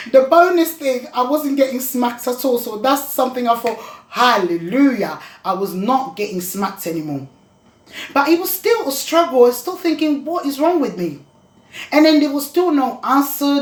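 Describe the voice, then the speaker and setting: A high-pitched woman's voice, swinging very widely in pitch. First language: not English. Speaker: vlogger talking about dyslexia. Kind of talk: personal testimony vlog. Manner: halting, with restarts.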